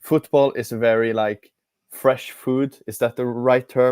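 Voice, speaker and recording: Speaking with a non-native accent, a man talks at a fairly slow pace with fairly even intonation. The recording is very clean, with a silent background. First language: not English. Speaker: football fan pundit. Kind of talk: casual football discussion. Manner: halting.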